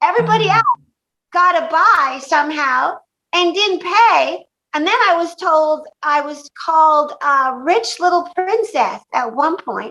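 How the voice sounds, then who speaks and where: A raised, projected voice with a bright, sharp tone and lively intonation. It moves at a fairly slow pace. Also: woman, extremely high pitch for a woman. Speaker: stand-up comedian. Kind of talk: interview answer. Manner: casual, swearing, animated storytelling.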